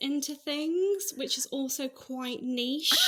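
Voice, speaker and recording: Her voice is raised and projected, pitched high. The woman uses ordinary pitch variation. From Manchester, northern England. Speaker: podcast guest. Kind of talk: casual chat.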